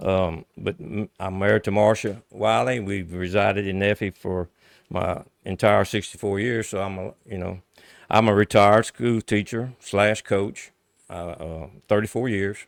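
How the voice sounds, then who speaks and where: A man with a plain, everyday voice speaks at a fairly slow pace, with fairly low pitch and fairly even intonation, in a dry, close sound with no echo on a very clean recording with a silent background. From US South, central Louisiana. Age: 60s. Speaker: local politician. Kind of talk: interview.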